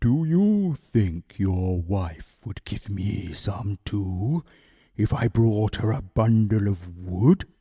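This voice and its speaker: A man puts on a character voice at a fairly low pitch. He speaks at a very slow pace. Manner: anxious, pleading.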